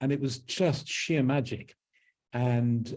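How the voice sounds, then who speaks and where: Here a man with a southern English accent speaks fairly slowly at a medium pitch with ordinary pitch variation. His tone is dark and mellow, and somewhat breathy. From London, England. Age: 70s. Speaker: author, druid. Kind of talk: interview.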